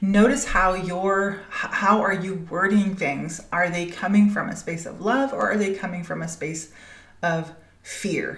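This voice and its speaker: A woman at a fairly slow pace, with noticeable background noise and audible room echo. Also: medium pitch for a woman, ordinary pitch variation. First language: Danish. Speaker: spiritual business coach, podcast host. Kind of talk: podcast monologue. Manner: halting, many fillers.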